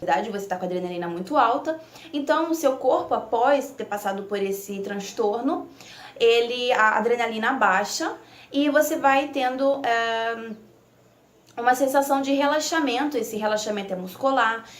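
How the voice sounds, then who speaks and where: A woman with an unremarkable speaking voice talks at a moderate pace, fairly high in pitch and with lively intonation. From Italy. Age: 20s. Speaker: nursing student. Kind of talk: casual talk to camera.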